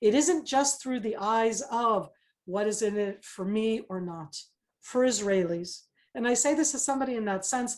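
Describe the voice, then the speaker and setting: With a plain, everyday voice and an American accent, a woman speaks at a moderate pace, fairly high in pitch with lively intonation. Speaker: former government spokesperson and retired army officer. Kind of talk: webinar panel discussion.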